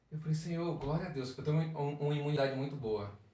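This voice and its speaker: There is audible room echo as a man talks at a fairly high pitch. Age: 40s. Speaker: church youth leader. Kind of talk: podcast interview, personal testimony. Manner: playful, joking.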